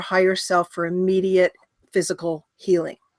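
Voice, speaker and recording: A woman with a plain, everyday voice talks at a moderate pace and medium pitch, recorded very cleanly against a silent background, with a dry, close sound and no echo. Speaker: healer and hypnotherapist. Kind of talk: interview.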